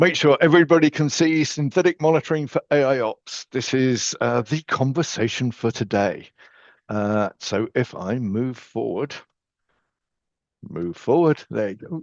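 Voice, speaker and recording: A man speaks with an English accent and lively intonation. His pace is fairly slow, and the background is quiet. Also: medium pitch for a man, dry, close sound with no echo. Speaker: software company technical expert. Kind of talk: webinar presentation.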